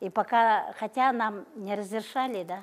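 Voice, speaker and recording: The pitch shows ordinary variation. A woman delivers her words very slowly. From Yakutia, Russian Far North. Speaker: folk craftswoman. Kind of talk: casual explanation. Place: hall.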